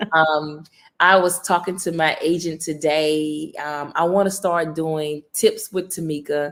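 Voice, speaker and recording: Talking at a fairly slow pace, a woman with a Southern accent has a fairly low pitch and monotone, flat intonation. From US South, Mississippi. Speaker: college basketball coach. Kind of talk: interview.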